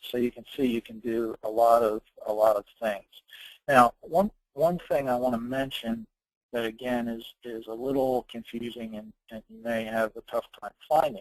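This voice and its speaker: An ordinary speaking voice from a man of medium pitch, with fairly even intonation and a moderate pace. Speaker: software consultant presenting a webinar. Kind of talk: software tutorial webinar. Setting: online webinar. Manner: casual with many filler words.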